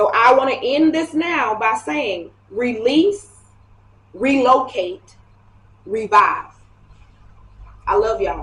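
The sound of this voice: A woman speaks slowly with long, frequent pauses. Her fairly high pitch, lively intonation and fairly bright tone stand out.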